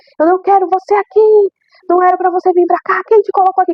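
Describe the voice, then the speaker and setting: A squeaky, put-on character voice, shouting at an extremely high pitch and a very fast pace. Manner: shouting, furious.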